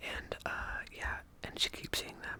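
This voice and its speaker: Noticeable background noise is present. The voice is whispering. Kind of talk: casual ASMR rambling about movies. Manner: whispered.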